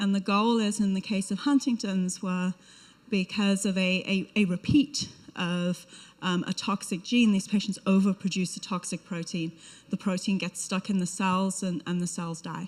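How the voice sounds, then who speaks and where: A woman speaks in a British accent at a medium pitch. Her voice is somewhat breathy, with fairly even intonation. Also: moderate pace. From UK. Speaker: biotech company representative. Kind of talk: conference talk. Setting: conference stage with audience. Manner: hesitant with frequent fillers.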